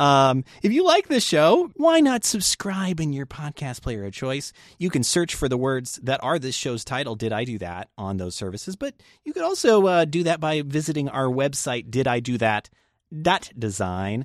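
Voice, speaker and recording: The recording is very clean, with a silent background. The speech moves at a moderate pace with very wide pitch swings. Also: man, fairly high pitch for a man. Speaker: podcast host. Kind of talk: casual chat.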